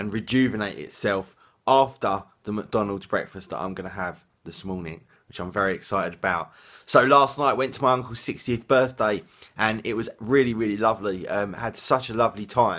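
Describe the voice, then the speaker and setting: Recorded very cleanly against a silent background, a man with an English accent speaks at a moderate pace in a fairly low, bright, sharp voice with ordinary pitch variation and big swings in loudness. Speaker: vlogger. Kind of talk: casual vlog.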